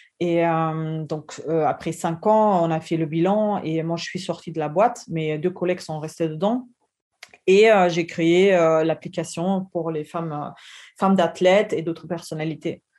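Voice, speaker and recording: A woman with a German accent speaks at a fairly low pitch in a dark, mellow tone, with fairly even intonation. Her pace is fairly slow, against a quiet background. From Germany. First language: German (speaking French). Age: 30s. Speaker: entrepreneur. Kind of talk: interview testimony. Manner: halting.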